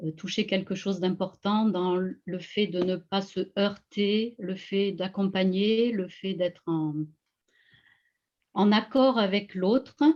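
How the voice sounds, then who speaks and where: Against a quiet background, a woman talks very slowly at a medium pitch with fairly even intonation. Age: 60s. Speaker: energy healer. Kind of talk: interview on live video call. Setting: video call. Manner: hesitant, many fillers.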